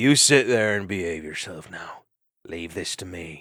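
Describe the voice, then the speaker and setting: In a put-on character voice, a man talks at a moderate pace with a very deep, low pitch and a raspy texture. His intonation is lively, and his loudness swings widely. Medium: read story.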